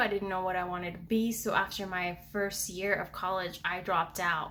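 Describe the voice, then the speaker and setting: A woman with a medium pitch speaks at a moderate pace. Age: 20s. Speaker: student and video reactor. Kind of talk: reaction video commentary. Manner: animated.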